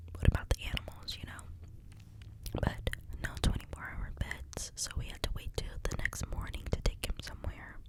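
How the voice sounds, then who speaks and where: A man's sad whisper at a moderate pace, big swings in loudness, noticeable background noise behind it. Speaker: ASMR creator. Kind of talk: whisper ramble to camera. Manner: whispered, soft-spoken, sad.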